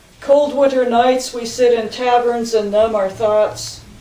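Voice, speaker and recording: A woman with a fairly high pitch, monotone and flat in intonation, at a fairly slow pace over noticeable background noise. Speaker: poet. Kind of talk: poetry reading.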